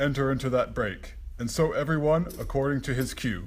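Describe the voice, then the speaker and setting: Putting on a character voice at a medium pitch, a man talks at a fairly quick pace over light background noise. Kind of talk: Shakespearean comic acting. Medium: stage play. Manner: fussy, excitable.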